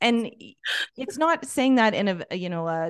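A woman with a normal speaking voice talks at a moderate pace, her fairly high pitch moving with lively intonation against a quiet background. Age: 40s. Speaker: life and business coach. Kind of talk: casual interview conversation.

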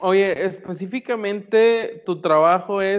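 A man with a Mexican accent. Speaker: podcast co-host. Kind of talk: casual chat. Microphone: connection freezing.

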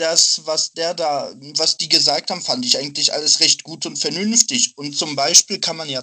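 A man with a fairly high pitch speaks at a fairly slow pace in an ordinary speaking voice with ordinary pitch variation. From Dortmund, Germany. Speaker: student, party member. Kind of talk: casual chat.

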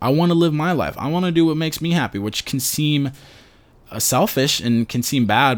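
With an American accent, a man talks at a moderate pace in a fairly high pitch. His is a plain, everyday voice with ordinary pitch variation. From New York City. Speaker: podcast host. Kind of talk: casual chat.

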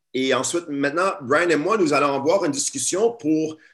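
The speaker has an ordinary speaking voice whose intonation is lively. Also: man. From Montreal area, Quebec. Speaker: teacher and activist. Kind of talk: webinar talk. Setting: video call.

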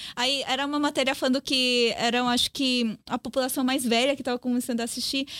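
This woman talks fairly quickly in a high voice, with hardly any pauses and very even loudness. Her intonation is flat and monotone, and the sound is dry and close with no echo. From Brazil (Korean family; born Paraguay, lived Chile). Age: young. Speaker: journalist. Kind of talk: casual chat.

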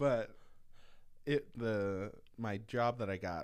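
Ordinary pitch variation shapes the speech of a man with an American accent. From US Midwest, Minnesota. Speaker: podcast host, sports writer. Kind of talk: casual chat.

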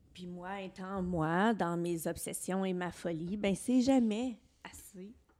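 Very slow speech from a woman in a medium register. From Eastern Ontario, Franco-Ontarian. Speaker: podcast co-host, former teacher. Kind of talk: personal testimony in casual chat. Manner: expressive, laughs easily.

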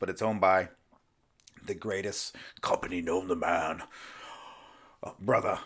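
Putting on a raspy character voice, a man speaks fairly low in pitch at a moderate pace. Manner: bombastic.

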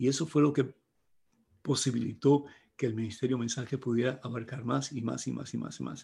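A man with a medium-pitched voice speaks at a fairly quick pace, his intonation fairly even. His tone is dark and mellow, with some vocal fry. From Cuba. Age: 70s. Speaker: priest and evangelist. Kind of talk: talk to priests.

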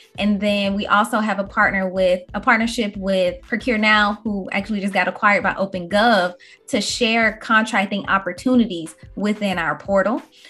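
Medium pitch from a woman, moderate pace and fairly even intonation, with music in the background. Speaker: podcast host. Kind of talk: casual chat.

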